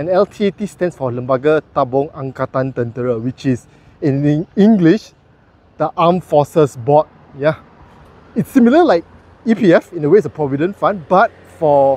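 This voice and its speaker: A man's dark, mellow voice moves at a moderate pace with lively intonation and long, frequent pauses. The sound is dry, with no echo. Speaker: property reviewer. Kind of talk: casual vlog commentary. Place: street. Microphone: phone near.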